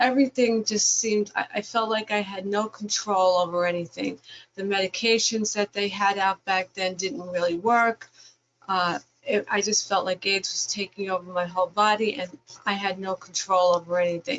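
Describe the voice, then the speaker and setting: A woman speaks at a moderate pace with a medium pitch and fairly even intonation. Hers is an unremarkable speaking voice. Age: 60s. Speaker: HIV peer educator. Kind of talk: webinar panel testimony.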